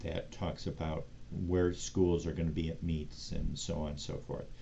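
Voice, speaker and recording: With audible room echo, a man speaks at a moderate pace in a very deep, low pitch, his dark, mellow tone marked by vocal fry and ordinary pitch variation. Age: 60s. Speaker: sports show host. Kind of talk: casual solo commentary show. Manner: conversational with frequent fillers.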